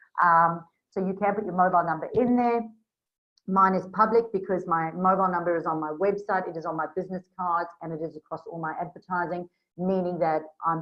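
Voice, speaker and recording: A woman with a slight South African accent speaks at a fairly quick pace in a fairly low pitch, her intonation fairly even but her loudness swinging widely. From South Africa, Durban. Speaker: Facebook business coach. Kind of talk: screen-share tutorial. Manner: casual, with frequent fillers.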